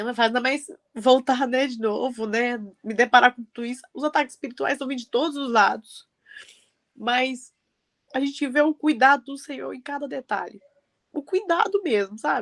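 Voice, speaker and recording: A woman's high voice moves with ordinary pitch variation and big swings in loudness at a moderate pace, broken by long, frequent pauses, in a dry, close sound with no echo. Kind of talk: testimony.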